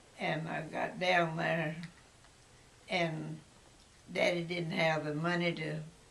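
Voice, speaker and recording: A woman with a Texas accent speaks at a very slow pace in a fairly low voice, her intonation flat and monotone, with long, frequent pauses and noticeable background noise. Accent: Texas Southern. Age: 80s+. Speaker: grandmother interviewed about her life. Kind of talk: interview answer.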